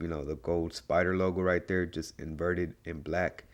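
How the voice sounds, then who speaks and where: An enthusiastic tone with vocal fry, ordinary pitch variation and a moderate pace comes through in a very clean recording with a silent background. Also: man. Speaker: toy reviewer. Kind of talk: casual talk to camera. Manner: casual, enthusiastic.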